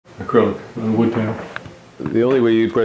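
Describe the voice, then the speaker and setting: A man's fairly low voice at a fairly quick pace, over noticeable background noise. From Toronto, Canada. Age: 60s. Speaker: retired judge and painter. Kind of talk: documentary interview. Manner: halting, many fillers and repeats.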